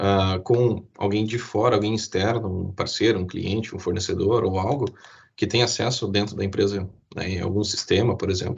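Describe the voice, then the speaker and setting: This man has a fairly low pitch and a somewhat breathy voice. His intonation stays fairly even. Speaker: IT security presenter. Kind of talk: webinar presentation. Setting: online live stream. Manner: fast.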